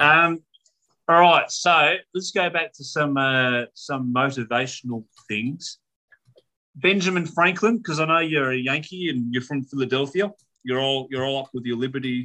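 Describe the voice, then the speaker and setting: A man's fairly high-pitched voice with an Australian accent, at a moderate pace with ordinary pitch variation. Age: 30s. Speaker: podcast host. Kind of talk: casual chat.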